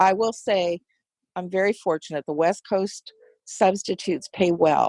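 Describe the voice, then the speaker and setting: In a plain, everyday voice, a woman speaks fairly slowly at a medium pitch with ordinary pitch variation, the sound dry and close with no echo. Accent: American. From United States. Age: 60s. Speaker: substitute teacher. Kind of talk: casual interview chat.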